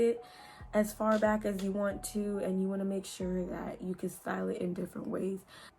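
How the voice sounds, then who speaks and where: A woman's voice comes through somewhat breathy. Faint music plays in the background. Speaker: beauty YouTuber, hair reviewer. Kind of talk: product review vlog. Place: home room. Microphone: phone near.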